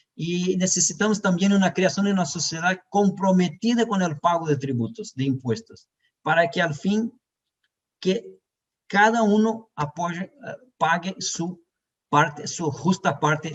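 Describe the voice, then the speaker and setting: A man with a Brazilian accent talks at a fairly slow pace. His intonation is lively. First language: Portuguese (speaking Spanish). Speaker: tax expert. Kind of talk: conference presentation. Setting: web conference. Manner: halting.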